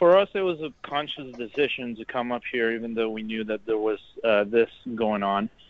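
A man with an American accent speaks in a normal speaking voice at a moderate pace, his medium pitch showing ordinary variation. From Texas, The Woodlands. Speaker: guest traveler in Paris. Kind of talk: interview. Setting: phone or video call from Paris.

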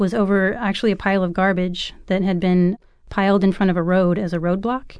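A woman with an American accent talks at a fairly quick pace in an ordinary speaking voice, medium in pitch, against a quiet background. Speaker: author. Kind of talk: radio interview.

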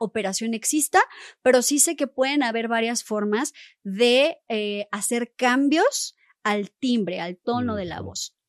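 High-pitched woman speaking very slowly, with big swings in loudness. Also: dry, close sound with no echo. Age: 30s. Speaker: vocal coach. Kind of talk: interview.

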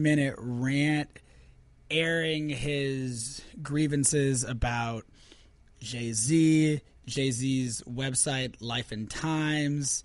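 An American accent with ordinary pitch variation. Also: man. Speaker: podcast host. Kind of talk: casual chat. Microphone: new wired mic.

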